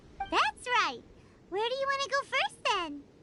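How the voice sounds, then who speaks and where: At a moderate pace, a put-on character voice comes out squeaky and extremely high in pitch. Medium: video game. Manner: chirpy, teasing.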